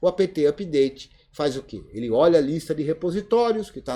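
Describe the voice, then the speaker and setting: Lively in intonation, a man speaks at a fairly high pitch and moderate pace. His tone is dark and mellow. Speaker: Linux course teacher. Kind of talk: live online class Q&A. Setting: video conference.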